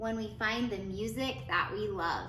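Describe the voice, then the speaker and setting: A woman at a medium pitch uses a put-on character voice over clear background noise. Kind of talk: bedtime story. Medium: read story. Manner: soft, earnest.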